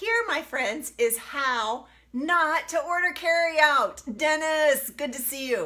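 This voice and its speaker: A woman's raised, projected voice, high in pitch, with lively intonation and a very slow pace. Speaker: health coach. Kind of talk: live cooking demo. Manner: animated.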